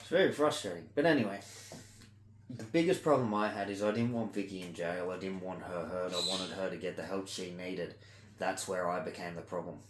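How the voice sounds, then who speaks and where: A man speaks with a very deep, low pitch and ordinary pitch variation at a fairly quick pace. His loudness swings widely, and the room echo is audible. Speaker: vlogger doing ear candling. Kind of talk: casual monologue vlog.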